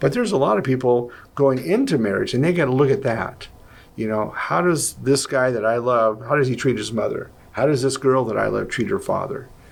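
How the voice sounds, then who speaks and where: Ordinary pitch variation runs through delivery at a fairly quick pace. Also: man, medium pitch for a man. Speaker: Bible teacher answering questions. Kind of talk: Q&A discussion. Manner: loud.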